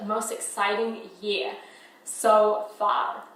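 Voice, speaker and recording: A woman speaks with a New Zealand accent. There is audible room echo and noticeable background noise. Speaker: filmmaker and photographer. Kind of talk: casual vlog.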